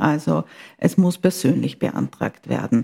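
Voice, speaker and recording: A woman speaks at a moderate pace in a somewhat breathy voice with a dark, mellow tone. The sound is dry and close, with no echo. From Austria, Vienna. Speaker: politician, party secretary. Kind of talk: interview. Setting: party headquarters office, mobile studio. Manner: formal.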